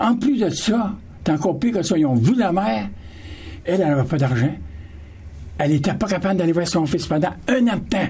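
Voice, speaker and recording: In a room with audible echo, a man with a high-pitched voice and a dark, mellow tone speaks at a fairly quick pace, with very wide pitch swings, very even loudness, and long, frequent pauses. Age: 70s. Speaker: panel guest. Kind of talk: radio panel discussion.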